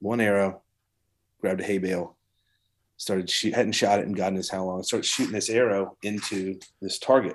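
A fairly quick, monotone, flat delivery in a Southern US accent, broken by long, frequent pauses, on a very clean recording with a silent background. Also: man, fairly low pitch for a man. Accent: Southern US (Georgia). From US South. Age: 40s. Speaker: coffee company hunting community manager. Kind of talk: casual chat.

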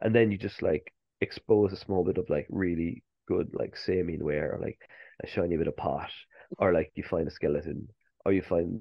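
In a Cork accent, a man talks at a moderate pace. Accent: Irish (Cork). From Ireland, Cork. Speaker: archaeologist. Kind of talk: interview. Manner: halting, many fillers.

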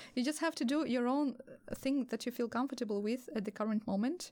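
In a very clean recording with a silent background, a woman talks at a very fast pace. Her high voice has a dark, mellow tone and ordinary pitch variation. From Belarus. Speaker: photographer. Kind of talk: casual chat.

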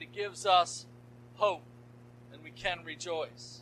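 With a raised, projected voice and very wide pitch swings, a man speaks at a fairly slow pace over noticeable background noise. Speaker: pastor. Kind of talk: sermon.

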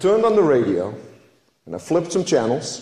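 A man speaks with audible room echo. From Netherlands. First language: Dutch. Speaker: lay preacher, flower farmer. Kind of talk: sermon. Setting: church.

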